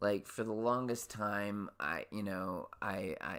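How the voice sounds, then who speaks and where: With an American accent, a man talks in a fairly low pitch and a bright, sharp tone. His intonation stays fairly even. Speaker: podcast host. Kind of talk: casual monologue. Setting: home, on lunch break. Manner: halting, many repeated words.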